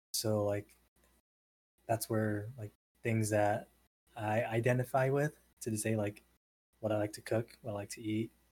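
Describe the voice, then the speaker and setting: With a Californian accent, the speaker keeps a moderate pace and a monotone, flat intonation, leaving long, frequent pauses. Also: man, fairly low pitch for a man. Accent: Californian American English. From San Diego, Southern California. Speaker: podcast guest. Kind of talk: casual chat.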